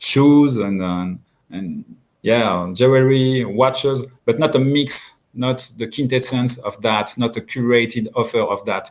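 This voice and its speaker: In a French accent, a man with a medium-pitched voice speaks at a fairly slow pace with ordinary pitch variation. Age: 50s. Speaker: watch brand owner. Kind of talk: interview. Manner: halting.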